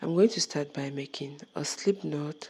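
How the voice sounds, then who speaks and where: A woman speaks very slowly in a very deep, low voice with a dark, mellow tone and ordinary pitch variation. The recording is very clean, with a silent background. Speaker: crochet tutorial maker. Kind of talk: tutorial voice-over. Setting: recorded voice-over.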